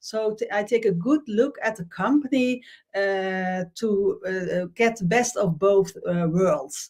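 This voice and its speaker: A woman with a Dutch accent speaks at a very slow pace. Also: medium pitch for a woman, ordinary pitch variation. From Netherlands. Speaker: LinkedIn trainer. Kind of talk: live-streamed interview show. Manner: halting, many fillers.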